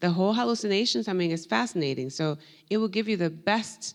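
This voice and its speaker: A woman's fairly low voice at a fairly quick pace, with lively intonation and a quiet background. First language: Spanish. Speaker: professor. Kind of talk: panel discussion.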